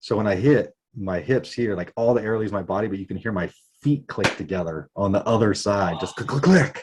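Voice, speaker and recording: This man has an ordinary speaking voice, fairly low in pitch, moving at a fairly quick clip with ordinary pitch variation. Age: 40s. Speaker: skateboarder. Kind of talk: casual chat.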